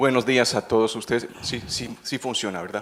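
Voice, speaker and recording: Amid noticeable background noise, a man at medium pitch talks at a moderate pace. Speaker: veterinary ophthalmologist, researcher. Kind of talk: conference talk. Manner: halting, many fillers and repetitions.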